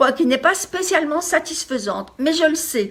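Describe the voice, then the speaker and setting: A woman's voice with very wide pitch swings. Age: 60s. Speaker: life coach. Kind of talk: motivational talk.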